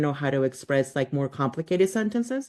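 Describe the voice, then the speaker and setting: Over a quiet background, a woman speaks at a very deep, low pitch. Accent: Spanish. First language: Spanish. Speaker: podcast host, unschooling parent. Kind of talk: podcast interview.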